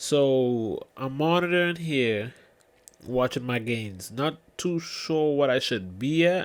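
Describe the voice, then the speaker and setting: A man with a medium-pitched voice and ordinary pitch variation talks at a very slow pace. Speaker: tech reviewer. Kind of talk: product review. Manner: casual, conversational.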